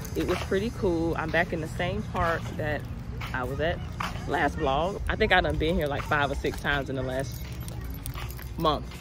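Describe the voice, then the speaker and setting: A woman's voice, dry with no echo, over clear background music. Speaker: lifestyle vlogger. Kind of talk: casual vlog talk to camera. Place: street. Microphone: phone near.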